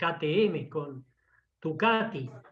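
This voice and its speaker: With a Rioplatense accent, a man speaks with lively intonation. His pitch is fairly high. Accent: Argentine Rioplatense Spanish. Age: 70s. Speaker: engine engineer. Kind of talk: technical talk with Q&A. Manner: enthusiastic.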